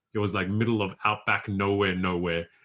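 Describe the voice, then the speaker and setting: A man with an Australian accent, a very deep, low pitch and monotone, flat intonation at a fairly quick pace, on a very clean recording with a silent background. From rural New South Wales, Australia. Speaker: poet and life coach. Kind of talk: workshop presentation.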